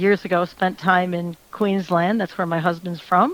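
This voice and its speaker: This is an ordinary speaking voice from a woman with an American accent. She talks fairly slowly at a medium pitch with fairly even intonation. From US Midwest, Michigan. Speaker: country singer. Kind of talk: radio interview.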